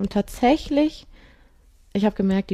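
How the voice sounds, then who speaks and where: Her voice is somewhat breathy, with a dark, mellow tone and medium pitch for a woman. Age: 40s. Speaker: amateur triathlete with rheumatoid arthritis. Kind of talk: interview.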